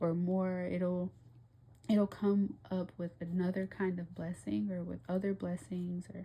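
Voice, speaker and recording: Somewhat breathy with a dark, mellow tone, this voice varies its pitch in an ordinary way. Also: woman. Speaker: tarot reader. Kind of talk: tarot reading monologue. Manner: animated.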